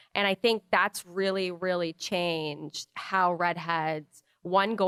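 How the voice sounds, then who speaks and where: Fairly low-pitched, a woman talks in an unremarkable speaking voice with fairly even intonation, the sound dry and close with no echo. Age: 30s. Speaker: podcast co-host. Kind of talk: casual chat.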